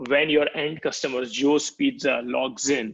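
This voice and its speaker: Pitched fairly high, a man speaks in a plain, everyday voice at a fairly slow pace. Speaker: product marketing executive. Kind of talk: product demo walkthrough.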